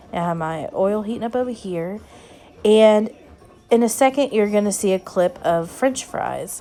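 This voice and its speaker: A woman with a Southern US accent speaks with ordinary pitch variation. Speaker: cooking vlogger. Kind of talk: casual cooking narration.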